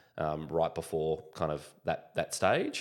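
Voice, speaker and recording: A man with an Australian accent speaks at a very deep, low pitch. The recording is very clean, with a silent background. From Australia, Sydney. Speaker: business founder. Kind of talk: podcast interview.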